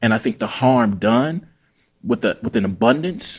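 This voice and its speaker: A man speaks with a Mississippi accent and lively intonation. The recording is very clean, with a silent background. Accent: Mississippi Southern US. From US South, Jackson, Mississippi. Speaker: writer and English professor. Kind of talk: interview conversation.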